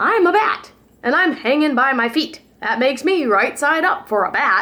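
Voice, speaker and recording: A loud, high-pitched put-on character voice delivers its lines at a moderate pace. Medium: read story.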